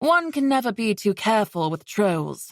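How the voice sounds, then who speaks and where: In a put-on character voice, a woman talks at a moderate pace on a very clean recording with a silent background. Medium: read story. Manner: guarded, dry.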